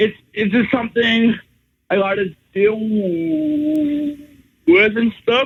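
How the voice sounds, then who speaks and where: A man speaks at a very slow pace with long, frequent pauses. His pitch is extremely high, with ordinary variation. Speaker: stand-up comedian. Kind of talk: radio interview.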